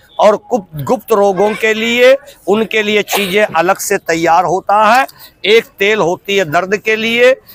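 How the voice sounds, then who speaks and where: A high-pitched man with ordinary pitch variation, in a dry, close sound with no echo, over noticeable background noise. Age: 60s. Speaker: street herbal medicine seller. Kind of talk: sales pitch.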